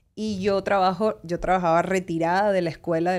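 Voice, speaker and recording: Here is an unremarkable speaking voice from a woman at medium pitch and a moderate pace, with fairly even intonation. The recording is very clean, with a silent background. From Venezuela. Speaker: lawyer. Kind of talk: interview.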